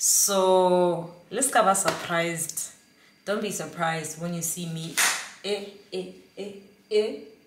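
A woman at a very slow pace with ordinary pitch variation and long, frequent pauses, over noticeable background noise. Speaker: vlogger. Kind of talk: casual vlog monologue. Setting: at home on couch. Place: kitchen. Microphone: phone near.

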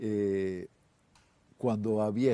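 The voice has a dark, mellow tone and fairly even intonation, in a Uruguayan accent. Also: man. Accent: Rioplatense Spanish (Uruguayan). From Uruguay, Montevideo. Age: 60s. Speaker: singer-songwriter and guitarist; guest. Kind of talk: casual TV interview. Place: studio. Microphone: lapel.

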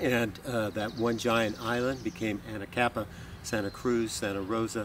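With an American accent, a man talks with fairly even intonation. The sound is dry with no echo, though background noise is noticeable. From Southern California. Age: old. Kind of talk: educational talk. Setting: outdoors. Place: open country.

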